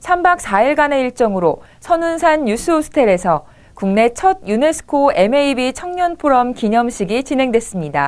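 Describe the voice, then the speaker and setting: In a very clean recording with a silent background, a woman speaks at a moderate pace in a high pitch with very wide pitch swings. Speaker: announcer and event host. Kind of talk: news anchor read.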